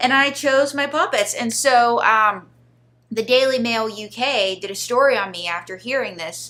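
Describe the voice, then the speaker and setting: A woman's bright, sharp voice, fairly high in pitch, with lively intonation at a moderate pace. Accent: Pittsburgh. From Pittsburgh area, Pennsylvania. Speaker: ventriloquist. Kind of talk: interview, comedic storytelling. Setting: studio.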